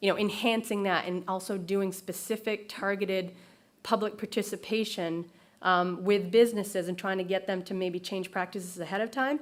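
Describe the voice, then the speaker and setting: The recording is very clean with a silent background, and the intonation stays fairly even. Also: woman. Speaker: regional planner presenting at a conference. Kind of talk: conference presentation. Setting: stage with audience. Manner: hesitant, many fillers.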